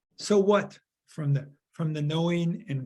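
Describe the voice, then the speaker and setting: Somewhat breathy, a man with an American accent talks at a fairly slow pace. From Chicago, US Midwest. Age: 70s. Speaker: workshop facilitator. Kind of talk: group discussion facilitation. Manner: halting, many repetitions.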